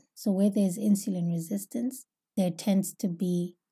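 A woman with a medium pitch and a dark, mellow tone sounds somewhat breathy, talking at a moderate pace with fairly even intonation. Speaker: holistic health podcast host. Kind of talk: solo educational talk.

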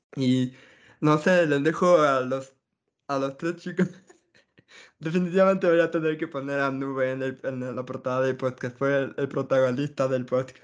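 Against a quiet background, a man with a plain, everyday voice speaks at a fairly high pitch with fairly even intonation. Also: moderate pace. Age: 30s. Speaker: podcast host. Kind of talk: casual chat.

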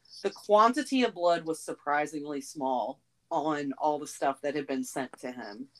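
Her pitch very deep and low, a woman with an American accent talks at a moderate pace with very wide pitch swings. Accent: southern US, toned down on the show. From US South. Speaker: podcast co-host. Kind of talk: casual chat with true crime narration.

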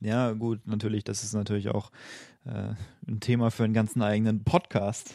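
Fairly low in pitch, a man's dark, mellow voice moves at a moderate pace with fairly even intonation. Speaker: podcast co-host. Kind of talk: casual chat.

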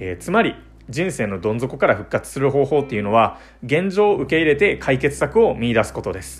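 Over music in the background, a man talks at a fairly quick pace and a medium pitch. His pitch swings very widely and his loudness swings a lot. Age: 20s. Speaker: podcast host, software engineer. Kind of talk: solo talk monologue.

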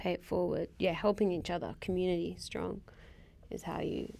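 A woman speaking at a moderate pace. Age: 30s. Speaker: podcast co-host. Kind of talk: casual chat.

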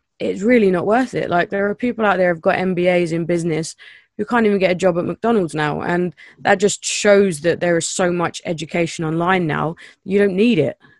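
A plain, everyday voice from a woman, fairly low in pitch, at a fairly quick pace with ordinary pitch variation and a dry, close sound with no echo. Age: 30s. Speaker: podcast host, marketing agency owner. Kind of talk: casual interview.

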